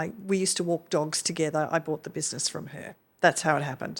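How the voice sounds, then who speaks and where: A woman with an Australian accent speaks very fast at a fairly low pitch and fairly even intonation. The recording is very clean, with a silent background. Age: 60s. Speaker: retired management rights operator. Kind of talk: podcast interview.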